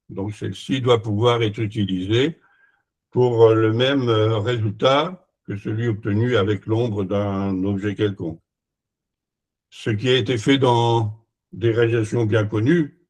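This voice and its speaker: A man's medium-pitched, somewhat breathy voice with ordinary pitch variation, at a very slow pace broken by long, frequent pauses. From France. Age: 80s+. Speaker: retired engineer and sundial maker. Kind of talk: conference presentation. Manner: halting, many hesitations.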